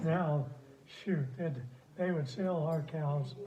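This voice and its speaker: A man with an American accent speaks at a very slow pace with fairly even intonation and fairly high pitch. Noticeable background noise is present. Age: 80s+. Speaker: retired dairy farmer and rancher. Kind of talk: interview answer. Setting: phone recording.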